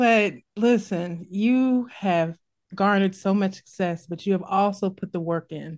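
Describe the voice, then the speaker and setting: Speaking fairly slowly in a Midwestern US accent, a woman with a medium pitch sounds animated, her pitch moving in an ordinary way. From US Midwest. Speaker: podcast host. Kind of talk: interview. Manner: animated, laughs often.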